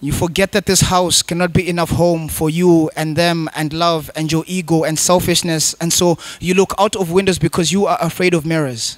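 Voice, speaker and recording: High-pitched for a man, this voice runs with hardly any pauses in a monotone, flat intonation. The sound is dry, with no echo. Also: moderate pace. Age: young. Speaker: poet. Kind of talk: spoken word performance. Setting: stage with audience. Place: stage. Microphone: handheld.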